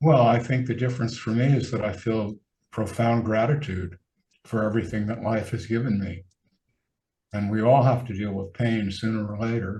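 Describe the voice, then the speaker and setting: A somewhat breathy, dark, mellow tone at a moderate pace with fairly even intonation. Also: man, medium pitch for a man. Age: 70s. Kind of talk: casual interview conversation.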